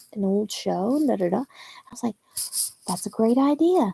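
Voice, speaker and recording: A woman whispers at a moderate pace in a dry, close sound with no echo. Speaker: film reaction youtuber. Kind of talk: casual livestream chat. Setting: livestream at home at night. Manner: whispering. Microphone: poor webcam.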